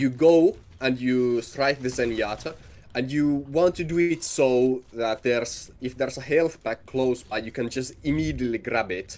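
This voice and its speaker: At a moderate pace, a man with a non-native accent speaks with ordinary pitch variation. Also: medium pitch for a man. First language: not English. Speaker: video game coach. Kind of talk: coaching session. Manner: halting.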